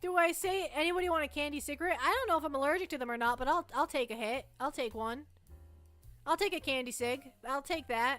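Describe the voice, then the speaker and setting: A woman with a New England accent, high-pitched, very fast, with ordinary pitch variation and music in the background. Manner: joking, playful.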